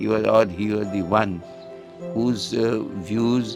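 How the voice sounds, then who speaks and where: Music in the background behind a man's fairly low-pitched voice. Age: 80s+. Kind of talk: interview answer.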